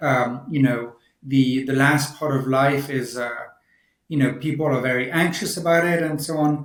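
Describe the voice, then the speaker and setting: There is audible room echo as a man speaks at a moderate pace with a fairly high pitch. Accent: French. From France. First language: French. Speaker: senior care tech executive. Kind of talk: podcast interview. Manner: halting, many repetitions.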